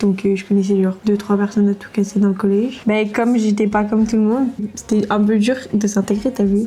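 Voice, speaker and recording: Her delivery is fairly quick, the woman's intonation monotone and flat. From France, Var. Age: 20s. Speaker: student. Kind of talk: casual chat.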